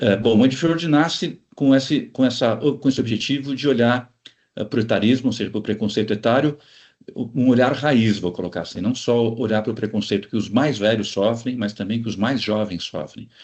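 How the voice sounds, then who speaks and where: A plain, everyday voice moves at a moderate pace. Its pitch variation is ordinary. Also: man, medium pitch for a man. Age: 60s. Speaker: organizational consultant. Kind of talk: interview.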